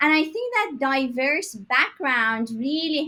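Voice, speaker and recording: A woman speaks in a Persian accent with a raised, projected voice. Her pitch is high and her tone bright and sharp. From Iran, Tehran. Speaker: tech startup founder. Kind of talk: interview.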